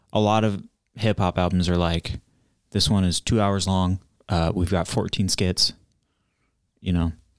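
With a Midwestern American accent, a man speaks in a very deep, low pitch with fairly even intonation, very even loudness, and long, frequent pauses, in a very clean recording with a silent background. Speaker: podcast co-host. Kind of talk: casual chat.

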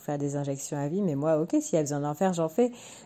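In a very clean recording with a silent background, a woman speaks with a very deep, low pitch, a dark, mellow tone and ordinary pitch variation. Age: 30s. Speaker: doctor. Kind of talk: testimony.

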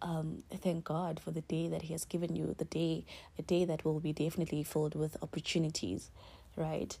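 A woman talks at a fairly low pitch with monotone, flat intonation. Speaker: podcaster. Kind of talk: casual solo podcast monologue with faith talk. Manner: conversational, filler words, laughs often.

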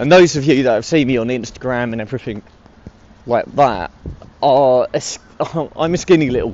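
Amid noticeable background noise, a man with a British accent and medium pitch speaks with ordinary pitch variation and long, frequent pauses. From UK. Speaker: podcast host. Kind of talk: casual chat. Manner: halting.

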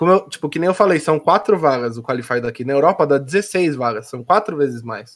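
In an unremarkable speaking voice, the speaker moves at a fairly quick pace with lively intonation. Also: man, fairly high pitch for a man. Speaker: esports pro player. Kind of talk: casual chat. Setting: live stream.

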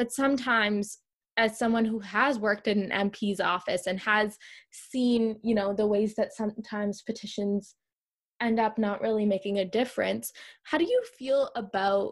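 A woman's somewhat breathy voice, fairly high in pitch, with fairly even intonation at a moderate pace. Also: very even loudness. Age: 20s. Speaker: podcast host. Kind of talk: casual chat.

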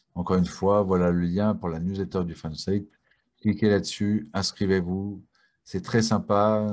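A man talks at a fairly slow pace in a fairly low pitch with fairly even intonation. His is a plain, everyday voice. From France. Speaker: talk show host. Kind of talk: live online talk show. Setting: video call.

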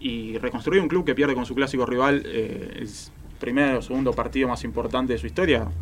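A man's medium-pitched voice with vocal fry, ordinary pitch variation and a fairly quick pace. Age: 20s. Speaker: football commentator. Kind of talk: casual chat.

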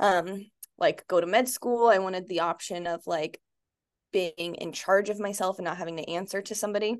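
A woman talks at a fairly quick pace with an American accent, in an ordinary speaking voice. Her pitch is medium, and the background is quiet. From Arizona, US. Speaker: pelvic floor physical therapist. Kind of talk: casual chat.

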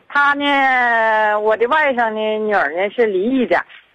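Speaking at a very slow pace, a woman keeps a fairly high pitch with ordinary pitch variation. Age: 50s. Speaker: caller asking for help. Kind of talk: phone-in plea. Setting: phone call. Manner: halting, rambling.

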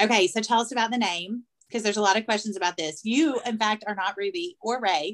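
A woman with a strong Southern US accent talks very fast, her fairly high voice full of lively intonation. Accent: Southern US, thick. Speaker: podcast host. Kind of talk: casual chat.

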